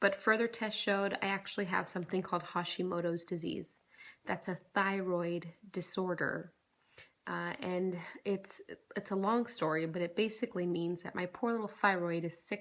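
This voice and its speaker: A woman speaks quietly at a medium pitch. Her intonation stays fairly even at a moderate pace. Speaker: vlogger. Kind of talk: casual vlog. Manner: quiet, holding back volume.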